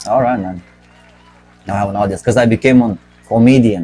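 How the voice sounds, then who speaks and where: A man talks with a Romanian accent. There is noticeable background noise. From Romania, Bucharest. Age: 40s. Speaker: podcast host and comedian. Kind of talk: casual comedic podcast monologue. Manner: halting, self-correcting.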